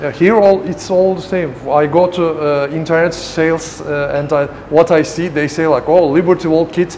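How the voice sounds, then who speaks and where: With a Turkish accent, a man talks at a moderate pace in a fairly high pitch, his intonation fairly even, over light background noise. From Turkey. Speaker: custom car shop owner. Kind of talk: shop tour interview. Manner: halting, hesitant English. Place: garage. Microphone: lapel.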